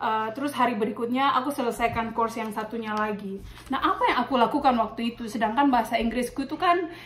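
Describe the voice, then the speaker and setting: Against noticeable background noise, a woman talks at a fairly quick pace and a high pitch with ordinary pitch variation. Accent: slight Maluku. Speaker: nurse and vlogger. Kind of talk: casual tutorial vlog. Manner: casual, with many fillers.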